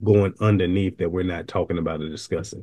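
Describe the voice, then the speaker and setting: Over a quiet background, a man with a Southern US accent speaks in a very deep, low pitch with monotone, flat intonation. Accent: Southern, country. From US South. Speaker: video reaction commentator, retired law enforcement. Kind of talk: video reaction commentary. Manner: slurs sometimes; calm, never raises voice.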